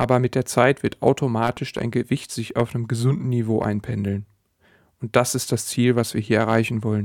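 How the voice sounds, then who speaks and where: A man speaks with flat, monotone intonation. The sound is dry and close with no echo, and the recording is very clean against a silent background. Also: medium pitch for a man, moderate pace. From Sauerland, Germany. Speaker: podcast host and weight-loss coach. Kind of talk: solo podcast monologue.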